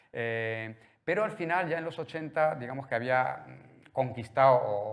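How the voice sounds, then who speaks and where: Noticeable background noise sits behind a man speaking at a moderate pace. His pitch is medium, with ordinary variation. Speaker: art museum director. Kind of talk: public talk at gallery opening. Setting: art gallery with live audience. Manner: hesitant, many fillers and repetitions.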